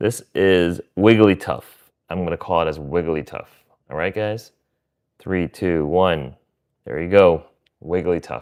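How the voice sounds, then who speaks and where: A fairly slow delivery with an American accent, ordinary pitch variation and long, frequent pauses, on a very clean recording with a silent background. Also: man, very deep, low pitch for a man. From US Midwest. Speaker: streamer. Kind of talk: live stream card pack opening. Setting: live stream.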